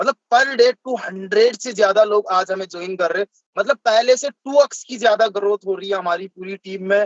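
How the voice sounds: At a fairly quick pace, a man with a high pitch speaks with ordinary pitch variation in a dry, close sound with no echo.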